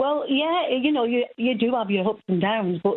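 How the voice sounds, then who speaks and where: A woman speaks in a Mancunian accent. Her intonation is lively and her pace moderate. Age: 70s. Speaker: caller. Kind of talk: phone-in call.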